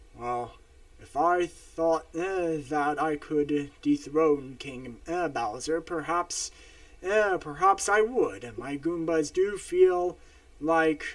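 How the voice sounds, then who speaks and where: The speaker uses a put-on character voice with lively intonation. The pace is fairly slow. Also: man. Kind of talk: royal, speaking of ruling. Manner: muttering; thoughtful, hesitant.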